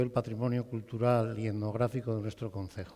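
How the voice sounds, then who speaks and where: A man has a dark, mellow tone. He speaks at a fairly quick pace. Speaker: former school headmaster. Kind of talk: public talk at presentation event. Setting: theatre stage with audience. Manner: loud.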